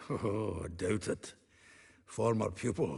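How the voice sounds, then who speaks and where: A man puts on a raspy character voice, fairly low in pitch. He speaks at a fairly slow pace. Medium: video game. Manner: jovial, laughing.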